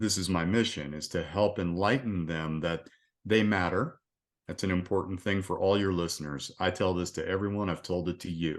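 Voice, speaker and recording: A man speaks at a moderate pace with very deep, low pitch. His intonation is fairly even, and the background is quiet. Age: 60s. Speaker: resilience coach, retired police officer. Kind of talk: casual interview chat.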